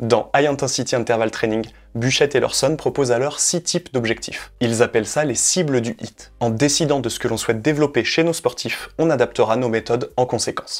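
A man talks at a moderate pace with hardly any pauses and fairly even intonation. The background is quiet. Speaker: sports coach educator. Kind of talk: educational explainer video. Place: home room. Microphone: lapel.

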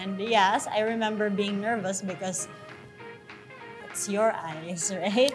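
A woman's voice with clear music in the background. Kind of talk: interview answer. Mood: cheerful, relaxed. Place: studio. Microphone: lapel.

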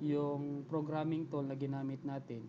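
Speaking at a moderate pace, the man has a fairly high pitch. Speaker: programming tutorial YouTuber. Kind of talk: screen-recorded coding tutorial. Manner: hesitant, many fillers.

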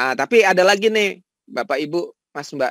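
This man's voice is high-pitched with a bright, sharp tone and very wide pitch swings. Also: dry, close sound with no echo. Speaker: professor and AI researcher. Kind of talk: webinar lecture. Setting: video call from home. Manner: casual, relaxed.

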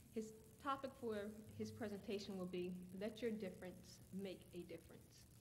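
Noticeable background noise sits behind a woman with a medium pitch. She speaks at a moderate pace with fairly even intonation. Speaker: event announcer. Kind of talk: announcement.

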